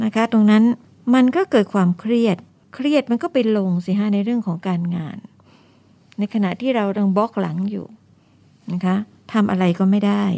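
A woman's dark, mellow voice, with a dry, close sound and no echo. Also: medium pitch for a woman, ordinary pitch variation. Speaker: retired school director. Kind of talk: radio interview.

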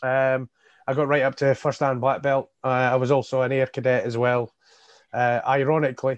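In a Scottish accent, a man speaks at a moderate pace and medium pitch with monotone, flat intonation and very even loudness, in a dry, close sound with no echo. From Scottish Borders (Hawick). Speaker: independent election candidate and carer. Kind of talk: interview. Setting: video call.

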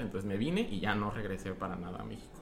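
A man talks at a fairly quick pace with ordinary pitch variation. There is audible echo in the room. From Mexico, Guadalajara. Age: 20s. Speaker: podcast guest. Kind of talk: casual chat.

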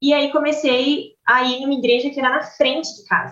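A woman talks at a moderate pace. The room echo is audible. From Brazil. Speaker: medical student abroad. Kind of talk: casual chat.

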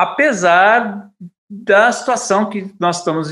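Speaking at a very slow pace, a man uses a bright, sharp tone with ordinary pitch variation. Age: 50s. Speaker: bassist and composer. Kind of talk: radio interview.

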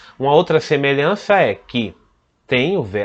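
The man's pitch rises and falls very widely. He speaks at a fairly slow pace. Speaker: French teacher podcast host. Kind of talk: bilingual language lesson.

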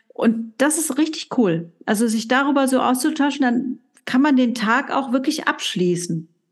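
A woman talks fairly slowly in a high voice with lively intonation. Her loudness stays very even. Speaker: coaching podcast co-host. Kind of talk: casual chat.

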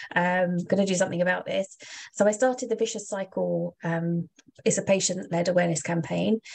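A woman's fairly quick speech in a southeast English accent, with ordinary pitch variation. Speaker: advocacy organization representative. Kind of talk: casual interview.

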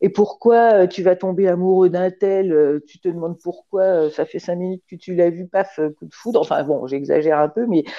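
Speech with hardly any pauses, ordinary pitch variation and big swings in loudness. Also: woman, medium pitch for a woman, moderate pace. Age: 60s. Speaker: retired dentist and amateur artist. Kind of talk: interview. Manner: halting.

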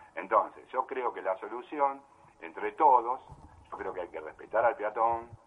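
At a moderate pace, a man speaks. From Buenos Aires, Argentina. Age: 60s. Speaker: amateur cyclist, member of a cycling association. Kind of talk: interview. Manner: halting, with many repetitions.

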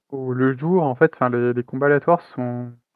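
The man's intonation is fairly even and his pitch medium. He speaks at a fairly slow pace. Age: 30s. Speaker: indie game developer. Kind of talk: interview. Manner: halting.

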